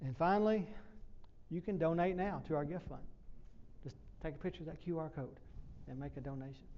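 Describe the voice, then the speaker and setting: Talking at a fairly quick pace in a Southern US accent, a man leaves long, frequent pauses. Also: fairly high pitch for a man, ordinary pitch variation. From US South. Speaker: professor. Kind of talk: presentation. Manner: fast.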